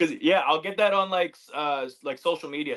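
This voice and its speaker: A man with a Canadian accent talks at a fairly quick pace with fairly even intonation in a plain, everyday voice. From Canada, Manitoba. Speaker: MMA fighter. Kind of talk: casual chat. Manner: fast, filler-heavy.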